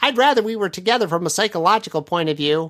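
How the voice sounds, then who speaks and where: A put-on character voice comes through on a very clean recording with a silent background. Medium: read story.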